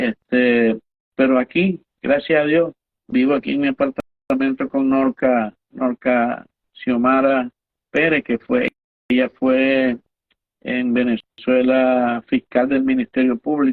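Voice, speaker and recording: Speaking very slowly, a man keeps his loudness very even at a medium pitch. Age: 70s. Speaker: former baseball umpire and physical education teacher. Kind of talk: interview. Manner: halting.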